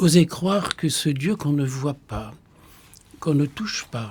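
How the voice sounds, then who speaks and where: A man speaks with a Flemish accent and ordinary pitch variation. His pace is fairly slow. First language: Flemish (speaking French). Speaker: Benedictine monk, potter and poet. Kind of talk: radio discussion on spirituality.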